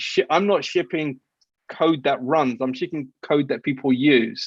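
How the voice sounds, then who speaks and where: A man with an English accent talks at a moderate pace in a fairly high-pitched voice against a quiet background. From England. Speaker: software engineer and startup CTO. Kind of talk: interview. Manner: halting, many repeated words and restarts.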